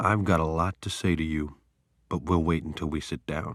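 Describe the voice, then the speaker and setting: On a very clean recording with a silent background, a man puts on a soft-spoken, growling character voice, very deep and low in pitch, with fairly even intonation at a moderate pace. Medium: read story. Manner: soft, joking.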